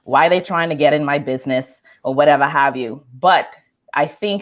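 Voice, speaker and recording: Her pitch very deep and low, a woman speaks at a moderate pace with fairly even intonation. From Bahamas. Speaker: communication coach. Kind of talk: interview.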